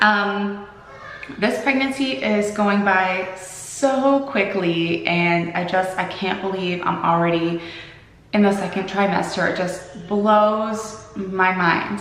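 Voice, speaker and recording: Over noticeable background noise and audible room echo, a woman speaks at a very slow pace. Her pitch is medium with ordinary variation. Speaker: vlogger. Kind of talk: casual vlog. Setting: at home. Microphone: echoey room.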